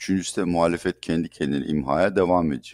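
A man with a very deep, low pitch speaks at a fairly quick pace in a very clean recording with a silent background. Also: dry, close sound with no echo. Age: 60s. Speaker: economist. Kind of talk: interview.

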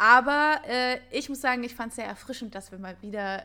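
Her bright, sharp tone comes at a fairly quick pace with ordinary pitch variation, as a woman speaks on a very clean recording with a silent background. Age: 20s. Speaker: podcast co-host, actress. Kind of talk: casual chat.

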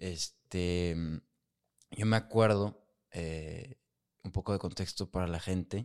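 In a very clean recording with a silent background, a man with a Mexican accent speaks very slowly in a very deep, low pitch, his intonation fairly even and his pauses long and frequent. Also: dry, close sound with no echo. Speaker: podcast host. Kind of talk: casual chat.

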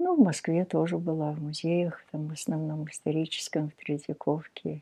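Somewhat breathy and very deep in pitch, a woman speaks at a fairly slow pace. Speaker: sculptor. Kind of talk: casual interview.

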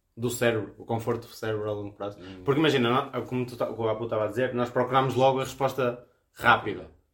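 The speech runs at a very fast pace with fairly even intonation. Loudness swings widely throughout. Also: man, medium pitch for a man. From Viana do Castelo, northern Portugal. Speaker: podcast co-host. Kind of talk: casual chat. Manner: halting.

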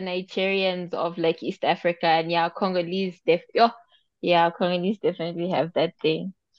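In an unremarkable speaking voice, a woman speaks at a moderate pace and a medium pitch. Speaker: podcast co-host. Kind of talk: casual chat.

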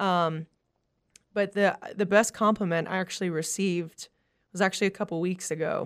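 The speaker is a woman with a medium pitch. She keeps a moderate pace and fairly even intonation. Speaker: country singer. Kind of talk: casual interview chat. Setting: studio.

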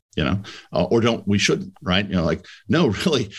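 Here is a man with an ordinary speaking voice and fairly low pitch. He talks at a fairly quick pace. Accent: American. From New York City area / Connecticut. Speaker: M&A advisor. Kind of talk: casual interview.

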